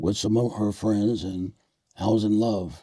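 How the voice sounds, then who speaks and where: A dark, mellow tone in an American accent, with monotone, flat intonation at a fairly slow pace. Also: man. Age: 80s+. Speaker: retired military officer and war veteran. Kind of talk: interview.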